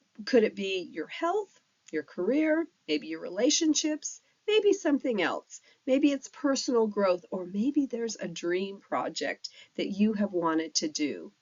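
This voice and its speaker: At a fairly slow pace, a woman with a warm tone and fairly high pitch speaks with very wide pitch swings. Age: 60s. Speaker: life coach. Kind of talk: tutorial. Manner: warm, conversational.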